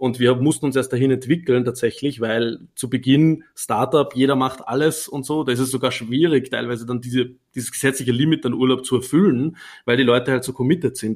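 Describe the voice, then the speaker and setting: A man with an Austrian accent at a medium pitch, fairly quick in pace, with fairly even intonation. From Upper Austria. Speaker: startup founder. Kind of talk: interview. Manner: hesitant with many fillers.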